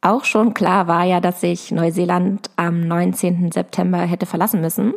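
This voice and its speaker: Her voice is fairly low with vocal fry, and this woman's pitch shows ordinary variation. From Lower Saxony, near Hanover. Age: 20s. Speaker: agriculture podcaster. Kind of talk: personal monologue. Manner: hesitant, many fillers.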